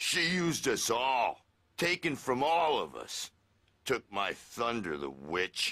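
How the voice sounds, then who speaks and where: In a put-on character voice, a man speaks at medium pitch and a fairly slow pace. The recording is very clean and dry, close with no echo and a silent background. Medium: video game. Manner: boisterous, slangy.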